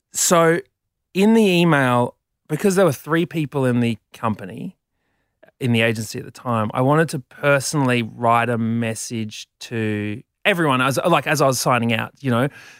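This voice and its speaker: A man with an Australian accent speaks with lively intonation. The recording is very clean and silent in the background, with a dry, close sound and no echo. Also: medium pitch for a man, moderate pace. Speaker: comedian. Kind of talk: casual chat. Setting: studio.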